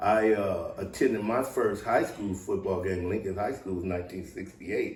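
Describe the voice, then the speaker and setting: A man with an American accent talks at a moderate pace with hardly any pauses, over noticeable background noise. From US West Coast, Southeast San Diego. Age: 60s. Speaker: former pro football player. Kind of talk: interview.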